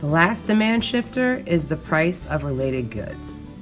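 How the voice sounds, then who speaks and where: A woman talks with lively intonation over music in the background. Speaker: teacher. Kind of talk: educational lecture narration.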